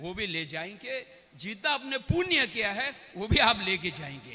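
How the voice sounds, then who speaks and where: Using a raised, projected voice, a man speaks with a non-native accent. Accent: non-native Hindi. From Tibet. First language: Tibetan (speaking Hindi). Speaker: Tibetan politician, former parliament deputy speaker. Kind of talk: speech at religious event. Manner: halting.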